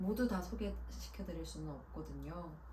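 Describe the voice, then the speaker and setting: Over noticeable background noise, a woman speaks in a calm tone at a fairly slow pace. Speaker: voice actor. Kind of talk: book introduction talk to camera. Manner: calm, soft-spoken.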